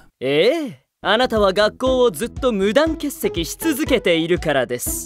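A cartoonish character voice with very wide pitch swings, at a moderate pace, over faint background music. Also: man, high pitch for a man. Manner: formal, stern.

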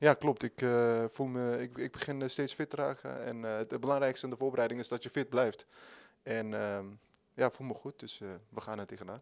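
A man talks at a fairly quick pace with fairly even intonation against a quiet background. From Netherlands (moved there at age nine). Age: 20s. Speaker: football player. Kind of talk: interview. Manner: halting. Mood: calm, content. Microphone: handheld.

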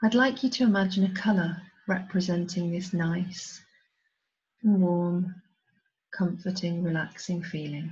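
A woman with a somewhat breathy, soothing tone speaks at a medium pitch and a fairly slow pace, leaving long, frequent pauses. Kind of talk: guided hypnosis induction. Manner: slow, soothing, hushed and hypnotic, with measured pauses.

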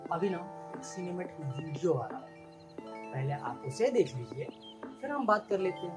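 Clear music plays behind a man who speaks with long, frequent pauses. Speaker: vlogger; mechanical engineering graduate. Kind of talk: casual talk to camera. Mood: playful, humorous. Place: home room. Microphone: lapel.

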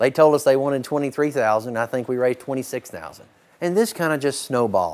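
The pitch of this man's voice shifts in an ordinary way as he talks. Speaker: charity auctioneer. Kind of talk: casual storytelling to camera, interview answer. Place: farm machine. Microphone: lapel.

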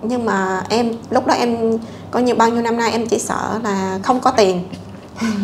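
A woman speaks at a moderate pace with flat, monotone intonation. There is light background noise behind her. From southern Vietnam (Bình Phước). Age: 40s. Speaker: guest seeking a partner, fertilizer and pesticide trader. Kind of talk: casual interview. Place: home room. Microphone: lapel.

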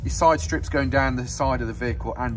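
With music in the background, a man with a very deep, low voice speaks in very wide pitch swings. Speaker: van salesperson. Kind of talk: sales walkaround commentary. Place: street. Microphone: phone near.

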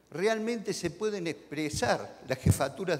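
This man talks at a fairly slow pace, his pitch swinging very widely. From Argentina. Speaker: regional politician. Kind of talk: panel discussion. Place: hall.

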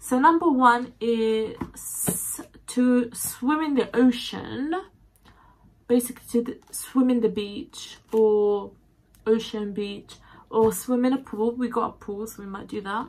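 The speech moves at a very slow pace. Its pitch variation is ordinary. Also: woman. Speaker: vlogger. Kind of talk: casual vlog chat. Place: home room. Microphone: phone near.

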